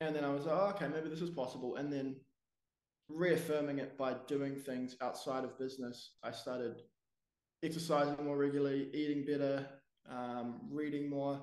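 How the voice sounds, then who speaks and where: A man with a New Zealand accent speaks at a moderate pace. His pitch is fairly high and his intonation fairly even. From New Zealand, Wellington. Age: 20s. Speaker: business owner. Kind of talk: interview.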